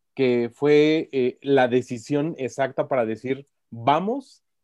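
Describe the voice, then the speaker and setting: A man's intonation stays fairly even at a medium pitch. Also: dry, close sound with no echo. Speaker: podcast host. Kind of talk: interview.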